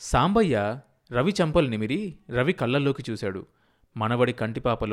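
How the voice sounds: Just a natural reading voice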